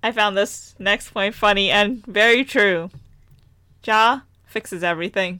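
Using a bright, sharp tone, a woman with an American accent speaks fairly slowly at a medium pitch, with fairly even intonation and long, frequent pauses. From US, Punjabi Indian family. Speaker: podcast co-host. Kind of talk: casual chat.

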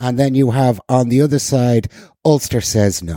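A man with a Northern Irish accent and a dark, mellow tone speaks at medium pitch and a moderate pace in a very clean recording with a silent background. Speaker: podcast co-host. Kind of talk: casual political discussion.

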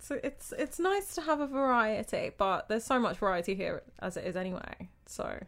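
A woman with a British accent talks at a moderate pace, hardly pausing at all. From Britain. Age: 20s. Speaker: event manager. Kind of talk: casual chat.

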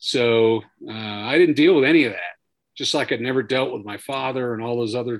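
This is a plain, everyday voice moving at a moderate pace. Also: man. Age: 50s. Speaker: retired army sergeant major, veterans program director. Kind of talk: interview about personal trauma.

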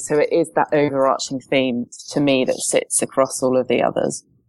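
A woman speaks at a moderate pace, her voice dry and close with no echo. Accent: British. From UK. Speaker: strengths coach and NLP practitioner. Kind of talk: podcast interview.

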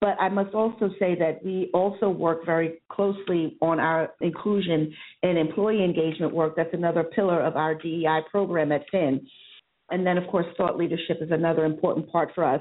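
A woman with an American accent and a fairly low pitch uses an ordinary speaking voice at a moderate pace, with fairly even intonation and very even loudness. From New York City (Harlem). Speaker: PR agency diversity executive. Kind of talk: interview.

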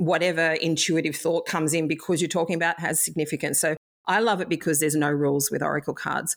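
This speaker talks very fast with an Australian accent. The loudness is very even and the intonation fairly even. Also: woman, fairly low pitch for a woman, very clean recording, silent background. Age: 50s. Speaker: past life reader. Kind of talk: interview.

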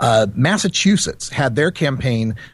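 Somewhat breathy, a man at a medium pitch speaks with lively intonation. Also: quiet background. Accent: American. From Idaho, US. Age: 40s. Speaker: cannabis activist and radio host. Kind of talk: casual interview.

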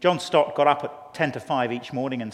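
A man with a British accent, fairly quick pace and fairly even intonation, over noticeable background noise. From England. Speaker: pastor. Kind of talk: conference interview.

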